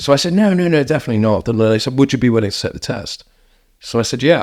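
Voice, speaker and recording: The man talks at a very fast pace with lively intonation. His pitch sits in the medium range. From East London. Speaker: entrepreneur. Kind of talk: interview.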